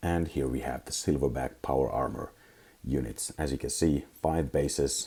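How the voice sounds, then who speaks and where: Very deep, low-pitched man with vocal fry, fairly even intonation and a moderate pace. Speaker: miniatures hobbyist. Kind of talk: casual talk to camera.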